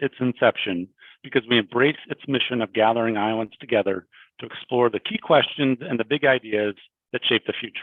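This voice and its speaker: A man with a normal speaking voice, medium in pitch, fairly quick in pace, with ordinary pitch variation. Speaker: electric transmission company president. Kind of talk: sponsor welcome speech.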